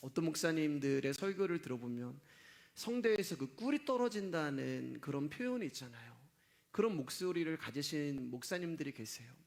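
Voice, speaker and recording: With very wide pitch swings, a man speaks at a moderate pace in a fairly high voice. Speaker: pastor. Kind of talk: sermon. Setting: church service. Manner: gets loud, shouts while preaching.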